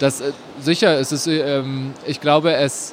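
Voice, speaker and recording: A man speaks with a fairly high pitch. Background noise is noticeable. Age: 30s. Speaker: novelist. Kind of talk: interview. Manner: halting, many fillers.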